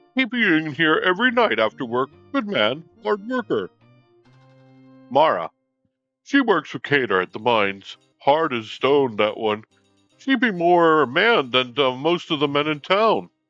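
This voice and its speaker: Over faint background music, a man in a put-on character voice speaks at a moderate pace and fairly high pitch, with very wide pitch swings and long, frequent pauses. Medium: actual play. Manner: folksy, chatty.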